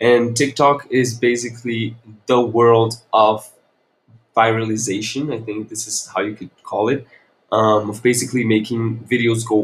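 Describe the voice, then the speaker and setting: At a moderate pace, a man speaks in a somewhat breathy voice of medium pitch, with a Portuguese accent. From Brazil, Brasilia. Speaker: podcast host, content creator. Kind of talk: solo podcast monologue. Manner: casual, with fillers.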